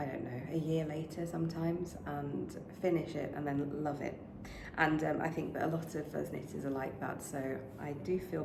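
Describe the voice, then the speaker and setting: A woman with a British accent speaks at a moderate pace in a very deep, low pitch, with fairly even intonation. Noticeable background noise and audible room echo are present. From UK. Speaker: knitting podcaster. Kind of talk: casual vlog chat. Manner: hesitant, many fillers.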